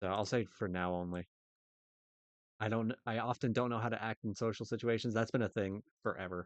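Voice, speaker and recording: Talking at a fairly quick pace but with long, frequent pauses, a man uses a fairly low pitch and fairly even intonation. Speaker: gamer doing a quiz with friends. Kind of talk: casual chat. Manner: loud.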